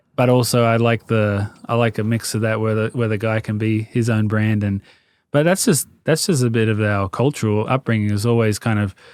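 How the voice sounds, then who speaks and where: With an Australian accent, a man talks at a fairly quick pace and medium pitch with fairly even intonation, in a dry, close sound with no echo on a very clean recording with a silent background. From Australia (Sydney, Marrickville and Sutherland Shire). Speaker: fashion brand founder, former footballer. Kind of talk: podcast interview. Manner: casual, hesitant with fillers.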